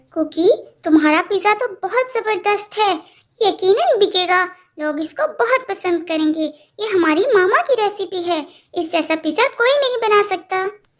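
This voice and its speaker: In a squeaky, cartoonish character voice, a woman speaks at a moderate pace with extremely high pitch. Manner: earnest, determined.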